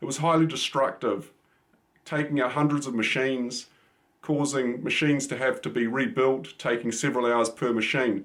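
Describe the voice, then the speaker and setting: The voice carries a New Zealand accent. Speech moves at a moderate pace. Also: man, medium pitch for a man, ordinary pitch variation. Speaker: cybersecurity expert. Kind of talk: channel introduction monologue. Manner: casual, with frequent fillers.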